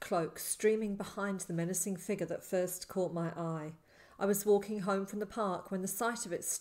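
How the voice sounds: This is a natural reading voice. The clip holds nothing else to describe.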